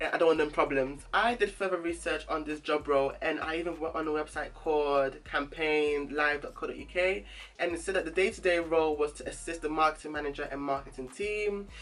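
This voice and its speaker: A man with a normal speaking voice and a fairly high pitch talks fairly quickly, with fairly even intonation and hardly any pauses. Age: 20s. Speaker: YouTuber. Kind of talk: storytime vlog.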